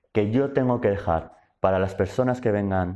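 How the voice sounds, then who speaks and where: A man's dark, mellow tone at a fairly low pitch, set against a quiet background. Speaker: invited speaker at activist workshop. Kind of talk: lecture. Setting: university talk with audience. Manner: halting, many self-corrections.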